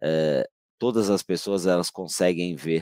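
Recorded very cleanly against a silent background, a man with a very deep, low pitch speaks at a fairly slow pace in a dry, close sound with no echo. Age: 50s. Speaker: podcast host, biomedical imaging professional. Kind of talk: panel discussion.

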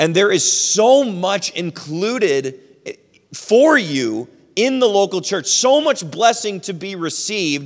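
A man speaks at a fairly slow pace. His high pitch moves in very wide swings. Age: 30s. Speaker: pastor. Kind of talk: sermon.

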